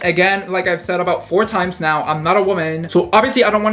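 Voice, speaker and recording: A man talks very fast with fairly even intonation while noticeable background noise carries on behind him. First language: Spanish. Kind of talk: casual talk to camera.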